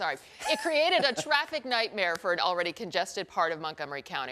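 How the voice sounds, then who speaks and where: Music plays in the background. The voice swings very widely in pitch and moves at a very fast pace. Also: woman. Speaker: local TV news anchor. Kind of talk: TV news anchor delivery.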